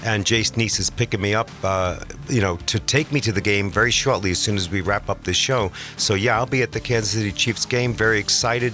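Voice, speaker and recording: Over music in the background, a man with an American accent talks at a fairly quick pace and fairly low pitch, with ordinary pitch variation and very even loudness. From New York. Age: 60s. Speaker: radio show sponsor, supplement business founder. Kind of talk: casual radio chat. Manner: animated.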